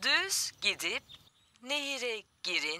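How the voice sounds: Using a put-on character voice, a woman speaks slowly at a fairly high pitch with big pitch swings and a bright, sharp tone.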